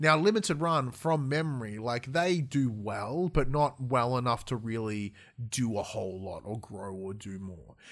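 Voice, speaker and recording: A man with an Australian accent speaks with lively intonation and big swings in loudness. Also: medium pitch for a man, moderate pace, very clean recording, silent background. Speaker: gaming podcast co-host. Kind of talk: casual chat. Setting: live-streamed studio recording. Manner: animated.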